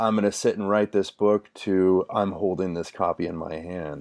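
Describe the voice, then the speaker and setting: Against a quiet background, a man speaks in a fairly low voice with fairly even intonation. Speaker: podcast interviewer. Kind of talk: casual interview. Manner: hesitant, filler-heavy.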